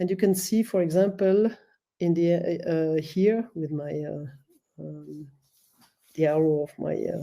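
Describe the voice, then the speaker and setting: With a French accent, a woman speaks at a fairly slow pace and fairly low pitch. Her tone is dark and mellow. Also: ordinary pitch variation. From French-speaking Switzerland. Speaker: professor. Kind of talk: conference presentation. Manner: halting, many fillers.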